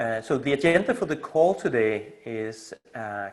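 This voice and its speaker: A man with a Danish accent and lively intonation. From Denmark. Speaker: community initiator and coach. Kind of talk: video call community meeting presentation. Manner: halting, many fillers.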